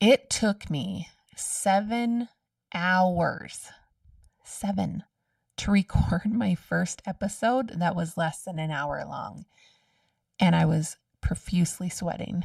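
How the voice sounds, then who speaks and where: Recorded dry and close with no echo against a silent background in a very clean recording, a woman speaks very slowly and somewhat breathily at a medium pitch, with ordinary pitch variation and long, frequent pauses. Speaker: podcast host. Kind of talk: solo podcast monologue.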